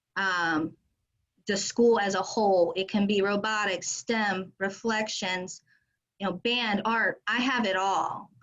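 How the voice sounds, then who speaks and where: Speaking at a very slow pace, a woman holds a medium pitch. Her intonation is fairly even. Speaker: restaurant fundraising representative. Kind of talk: sales pitch. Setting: video call.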